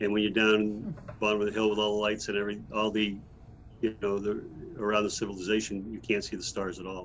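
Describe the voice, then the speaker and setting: A man speaks at a very fast pace. His fairly low voice stays flat and monotone. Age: 60s. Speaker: energy healer and author. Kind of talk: podcast interview. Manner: halting, with many repeated words.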